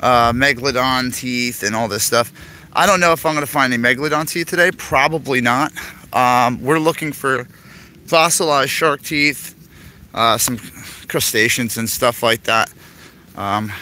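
A bright, sharp voice at a moderate pace, with long, frequent pauses. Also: man, ordinary pitch variation, dry sound with no echo. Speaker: outdoor hobby vlogger. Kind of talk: casual vlog chat. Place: forest. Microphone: phone near.

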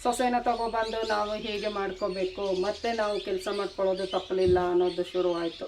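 A woman's fairly even intonation amid noticeable background noise. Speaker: vlogger. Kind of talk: casual vlog talk to camera. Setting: outdoors in her garden by a main road. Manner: rough-sounding speaking style.

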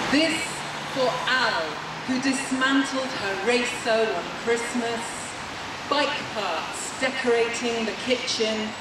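Over loud background noise, a woman speaks at a very slow pace with long, frequent pauses and audible room echo. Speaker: poet at rally. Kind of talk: poetry reading, spoken word tribute. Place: street. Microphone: camera far.

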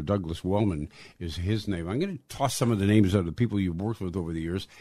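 On a very clean recording with a silent background, a man with an ordinary speaking voice talks in a fairly low pitch with ordinary pitch variation. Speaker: podcast host. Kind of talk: interview.

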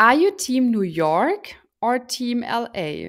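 A woman with a German accent, very wide pitch swings and a quiet background. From Germany. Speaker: podcast co-host. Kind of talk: casual chat. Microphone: studio mic.

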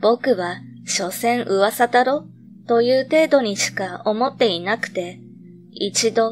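Over music in the background, a woman speaks fairly slowly in a fairly high voice with ordinary pitch variation. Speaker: horror story narrator. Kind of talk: ghost story reading.

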